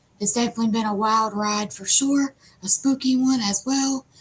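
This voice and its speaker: A woman's moderately paced speech in an Appalachian accent, with ordinary pitch variation. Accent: Appalachian American. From West Virginia. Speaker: live show host. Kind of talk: live stream chat.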